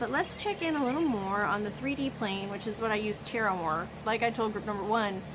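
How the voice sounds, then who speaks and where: Against noticeable background noise and audible room echo, a woman talks at a fairly quick pace and fairly high pitch with lively intonation, hardly pausing. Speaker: tarot reader. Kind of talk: pick-a-card tarot reading. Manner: animated.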